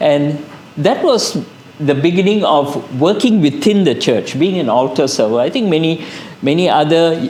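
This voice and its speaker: With lively intonation, a man speaks at a fairly high pitch. Noticeable background noise and audible room echo fill the recording. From Malaysia, Kedah. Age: 60s. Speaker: psychiatrist. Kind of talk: testimony.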